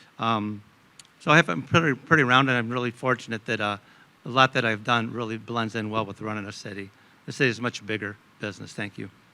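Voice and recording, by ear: Speaking fast, a man has a bright, sharp tone at a medium pitch. His pitch varies in an ordinary way.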